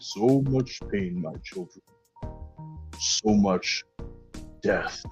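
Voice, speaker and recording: Faint music plays behind a booming, low-pitched, put-on character voice that moves at a very slow pace with long, frequent pauses. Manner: solemn, sorrowful.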